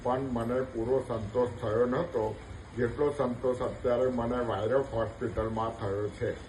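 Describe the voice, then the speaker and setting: A man's somewhat breathy, medium-pitched voice with flat, monotone intonation. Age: 70s. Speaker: knee replacement patient. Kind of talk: patient testimonial.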